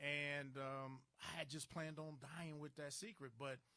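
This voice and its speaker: In a normal speaking voice, a man with an American accent talks at a moderate pace and a fairly high pitch. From Chicago, US. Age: 60s. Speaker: entrepreneur and abuse survivor. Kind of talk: interview testimony.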